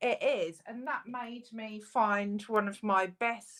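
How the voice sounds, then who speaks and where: A woman is speaking. Her pace is very slow. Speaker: metal detectorist co-host. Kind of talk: casual live stream chat. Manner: loud.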